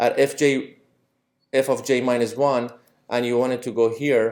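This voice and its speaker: A man's medium-pitched voice, dark and mellow in tone, with monotone, flat intonation. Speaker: university lecturer. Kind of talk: lecture. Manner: halting.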